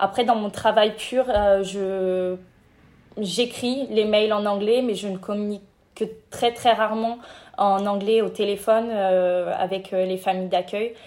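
A woman's medium-pitched voice at a very slow pace, with monotone, flat intonation. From France, Cognac. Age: 20s. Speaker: intern and master's student. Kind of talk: interview.

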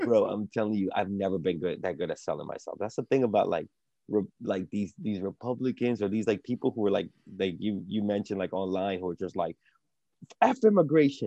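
A man with an ordinary speaking voice talks at a fairly low pitch with ordinary pitch variation, in a dry, close sound with no echo against a quiet background. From Dominican Republic, raised in US from childhood. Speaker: comedian. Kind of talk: casual chat.

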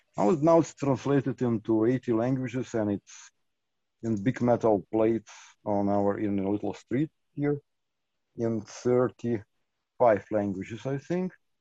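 Dark and mellow in tone, a man's voice moves at a fairly slow pace with ordinary pitch variation. The sound is dry and close with no echo, against a quiet background. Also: medium pitch for a man. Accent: Lithuanian. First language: Lithuanian. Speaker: artist and micronation representative. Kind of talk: interview. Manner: halting, many fillers.

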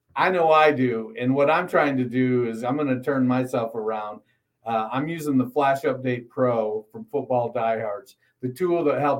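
Using a normal speaking voice, a man talks at a moderate pace with a medium pitch. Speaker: fantasy football podcast co-host. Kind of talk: casual banter, sports talk.

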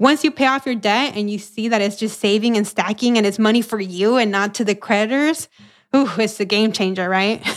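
A woman with an American accent talks at a fairly quick pace, her pitch fairly high with ordinary variation. The recording is very clean, with a silent background. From US, first generation American. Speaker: financial educator. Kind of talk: interview.

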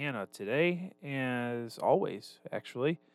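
Music plays in the background. The intonation is lively. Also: man. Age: 20s. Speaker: podcast host. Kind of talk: casual chat.

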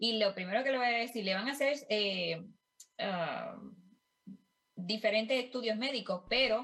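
A woman in a Puerto Rican accent talks at a fairly slow pace with a bright, sharp tone, a fairly high pitch and ordinary pitch variation. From Puerto Rico. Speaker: life coach and family caregiver. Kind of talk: interview. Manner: halting, many fillers.

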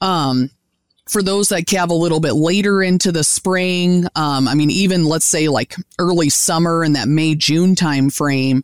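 A woman with an American accent speaks in an ordinary speaking voice at a moderate pace, with fairly low pitch, ordinary pitch variation and very even loudness. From US Midwest, Indiana. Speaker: beef cattle specialist and professor. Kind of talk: interview, expert explanation.

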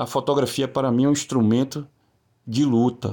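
Dark, mellow tone from a man, medium in pitch. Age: 40s. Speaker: photographer. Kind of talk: video presentation of own work.

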